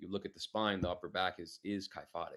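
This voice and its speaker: A man speaks in a very deep, low voice with an American accent. His intonation stays fairly even. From New York City, Queens. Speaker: fitness coach. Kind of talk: podcast interview. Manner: fast.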